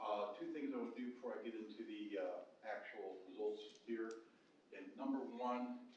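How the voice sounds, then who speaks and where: There is audible room echo around this man's voice. He speaks at a moderate pace with an American accent. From Indiana, Fort Wayne area. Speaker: demographer. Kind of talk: presentation.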